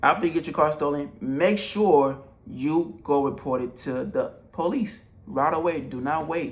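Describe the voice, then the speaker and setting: A man with a fairly high pitch speaks in an animated tone with lively intonation. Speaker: entrepreneur giving business advice. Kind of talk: tutorial. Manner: fast.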